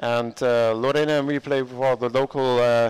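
A man speaks with monotone, flat intonation. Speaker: live-stream sports commentator. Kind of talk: live commentary. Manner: hesitant, many fillers. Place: home room. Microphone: headset.

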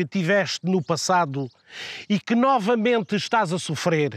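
Through a dry, close sound with no echo, a man speaks very slowly in a solemn tone with lively intonation. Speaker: narrator. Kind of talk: poetic theatrical monologue. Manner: solemn, declamatory, addressing Europe as a person in rhetorical questions.

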